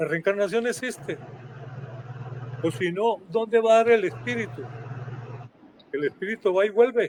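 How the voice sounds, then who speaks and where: With very wide pitch swings and long, frequent pauses, a man talks at a moderate pace in a high voice. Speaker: historian and author. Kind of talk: guest talk in a live online event. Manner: intense, animated.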